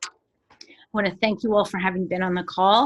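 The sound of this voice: A raspy, put-on character voice moves at a moderate pace with fairly even intonation. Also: woman, medium pitch for a woman.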